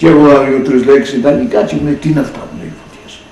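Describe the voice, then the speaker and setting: A man with a Cretan accent and fairly high pitch, with audible room echo and music in the background. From Crete. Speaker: priest. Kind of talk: oral history storytelling. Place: home room.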